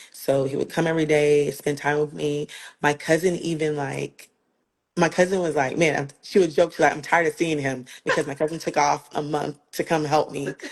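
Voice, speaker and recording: A woman speaks at a moderate pace with a very deep, low pitch. Her intonation is monotone and flat against a quiet background. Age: 40s. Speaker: breast cancer survivor sharing testimony. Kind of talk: testimony. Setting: live video stream. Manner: casual, conversational.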